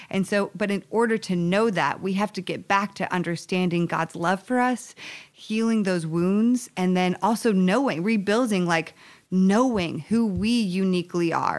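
A woman speaks at a medium pitch in a plain, everyday voice, with ordinary pitch variation. The recording is very clean, with a silent background. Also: moderate pace. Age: 30s. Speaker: relationship coach and author. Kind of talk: interview conversation.

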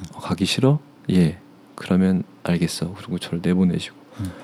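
A man's very deep, low pitch with lively intonation. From South Korea, Seoul area. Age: 30s. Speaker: interview guest. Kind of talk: personal life story interview.

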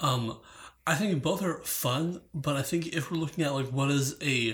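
On a very clean recording with a silent background, someone talks at a fairly slow pace. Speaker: guest judge. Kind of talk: casual chat.

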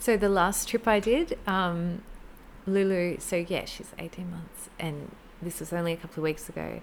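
A normal speaking voice moves at a moderate pace with fairly even intonation. Its loudness shows big swings. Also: woman, fairly low pitch for a woman. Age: 30s. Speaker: small business owner, pot painter. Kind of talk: casual interview, personal story.

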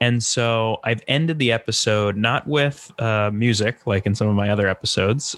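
A man speaks with a normal speaking voice at a medium pitch. His loudness stays very even. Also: hardly any pauses. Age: 20s. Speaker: comedian and podcast host. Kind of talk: casual interview chat.

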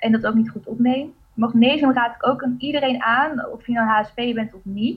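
A woman with a high voice speaks at a moderate pace, her intonation fairly even and her delivery almost free of pauses. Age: 20s. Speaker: coach and blogger. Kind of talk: casual interview.

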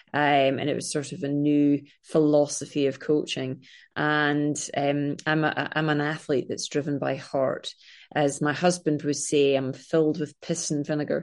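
Against a quiet background, a woman with a very deep, low pitch speaks fairly slowly in a monotone, flat intonation. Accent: Scottish. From Scotland. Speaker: triathlete and filmmaker. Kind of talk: casual interview chat.

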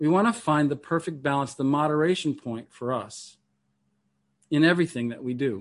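A man with an ordinary speaking voice, fairly high in pitch, at a moderate pace with ordinary pitch variation, over a quiet background. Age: 50s. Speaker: meditation teacher and minister. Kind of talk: lecture.

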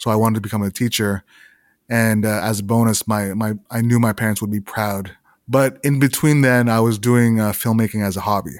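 In a very clean recording with a silent background, a man speaks at a fairly low pitch. His pace is fairly quick and his intonation fairly even. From Canada, small town. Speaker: video director. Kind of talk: interview. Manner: halting, frequent repetitions.

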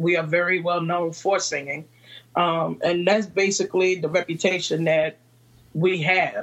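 A woman speaks with a Virginia accent. Her pitch is fairly low and her intonation monotone and flat. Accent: Southern American (Virginia). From Virginia, US South. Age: 30s. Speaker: entrepreneur and mother. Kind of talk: interview chat.

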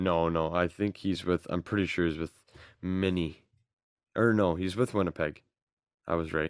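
A man's very deep, low voice at a moderate pace, with long, frequent pauses and fairly even intonation, in a dry, close, very clean recording with no echo and a silent background. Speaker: hockey podcast co-host, student. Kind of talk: casual chat.

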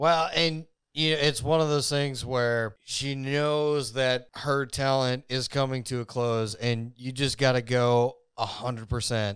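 Here a man of medium pitch uses a normal speaking voice, talking at a fairly slow pace with fairly even intonation. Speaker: podcast co-host. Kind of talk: casual chat about music history. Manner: casual, joking, profane.

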